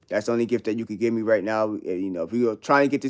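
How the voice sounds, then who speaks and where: A very fast man with a New York accent, fairly low in pitch, with fairly even intonation, on a very clean recording with a silent background. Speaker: live streamer. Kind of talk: casual livestream chat. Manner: casual slang-heavy.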